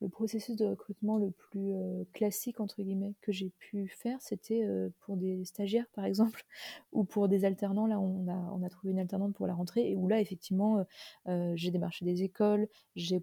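The tone is dark and mellow, somewhat breathy, with monotone, flat intonation. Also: woman. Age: 30s. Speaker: vintage clothing shop founder. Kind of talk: interview. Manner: hesitant, many fillers.

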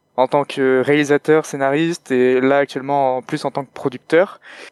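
At a moderate pace, a man speaks in a fairly high voice. The recording is very clean with a silent background, and the sound is dry and close without echo. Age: 20s. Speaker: podcaster. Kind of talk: interview. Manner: halting.

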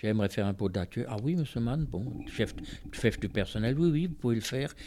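Ordinary pitch variation runs through a voice with a dark, mellow tone. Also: man. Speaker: worker-priest and trade unionist. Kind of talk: testimony.

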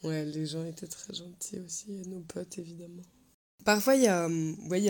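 Speaking at a moderate pace in an unremarkable speaking voice, a woman with fairly low pitch and ordinary pitch variation swings widely in loudness. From France. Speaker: interviewee in binational couple. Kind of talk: casual testimony.

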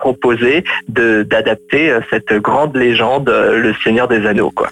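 With music playing behind him, this man talks at a medium pitch. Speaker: film blogger co-host. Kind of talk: casual chat. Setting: phone call. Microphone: phone line.

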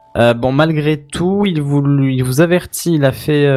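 A man speaks in a plain, everyday voice at a fairly high pitch. His intonation is fairly even. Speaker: podcast co-host reading tech news. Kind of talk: casual tech podcast chat.

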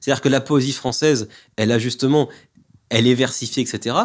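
The background is quiet as a man speaks at a fairly quick pace. He has a medium pitch and a normal speaking voice. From France, Mâcon area. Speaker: poet and author. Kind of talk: interview about his poetry book.

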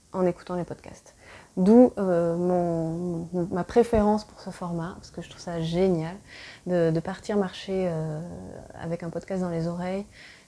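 Speaking at a very slow pace, a woman uses a fairly low pitch and a dark, mellow tone with fairly even intonation. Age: 30s. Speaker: podcast host. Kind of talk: solo personal monologue. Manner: halting, many hesitations.

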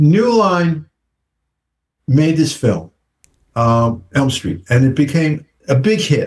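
A very slow, somewhat breathy delivery with lively intonation and long, frequent pauses. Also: man, fairly high pitch for a man. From United States. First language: English (speaking French). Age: 70s. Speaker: film director. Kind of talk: interview. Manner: halting.

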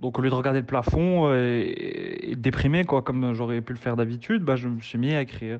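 A man speaks at a medium pitch. His pace is fairly quick, with ordinary pitch variation. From Morocco. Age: 20s. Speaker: author and doctor. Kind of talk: interview. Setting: remote call. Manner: halting.

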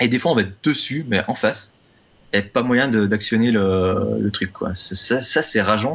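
With ordinary pitch variation, an unremarkable speaking voice proceeds fairly slowly. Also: man, medium pitch for a man. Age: 30s. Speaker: speedrunner and musician. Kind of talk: casual chat.

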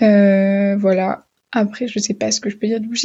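Somewhat breathy and fairly high-pitched, a woman speaks at a fairly slow pace. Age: 20s. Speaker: medical student. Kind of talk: voicemail testimony.

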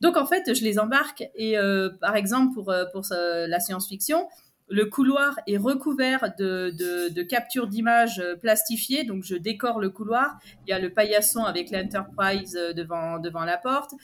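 A woman with an unremarkable speaking voice talks at a fairly slow pace. Her pitch is medium and her intonation lively. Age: 40s. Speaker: primary school teacher. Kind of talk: casual interview.

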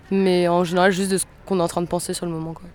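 Music plays behind a woman who talks at a medium pitch and a fairly quick pace. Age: 20s. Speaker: rock singer and guitarist. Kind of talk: casual interview.

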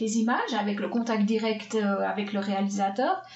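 This woman's voice is fairly high. Behind her, background noise is noticeable. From Switzerland, Swiss Jura. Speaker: film composer. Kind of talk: interview.

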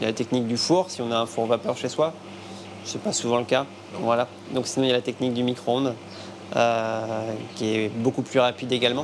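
Against noticeable background noise, a man at medium pitch talks at a fairly quick pace with fairly even intonation, broken by long, frequent pauses. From western France, Nantes area. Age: 30s. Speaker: chef and restaurant owner. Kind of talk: cooking demonstration; interview.

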